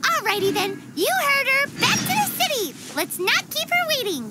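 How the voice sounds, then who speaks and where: A put-on character voice at an extremely high pitch moves at a moderate pace over loud background noise. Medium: video game. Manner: bubbly, high-energy.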